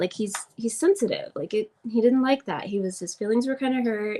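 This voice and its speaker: With a slight Southern US accent and ordinary pitch variation, a woman speaks in a dry, close sound with no echo. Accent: slight Southern drawl. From Oklahoma, US. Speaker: astrology teacher. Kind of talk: live class. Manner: casual, chatty.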